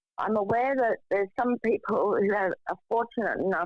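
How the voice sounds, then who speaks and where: With fairly even intonation and a moderate pace, a woman talks in an unremarkable speaking voice. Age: 60s. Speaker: panelist with lived mental health experience. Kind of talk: casual chat.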